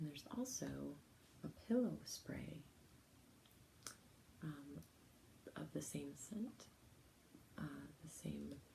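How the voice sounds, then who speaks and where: Soft-spoken and soothing, at a very slow pace. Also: woman. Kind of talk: ASMR relaxation talk to camera. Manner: soft-spoken, soothing.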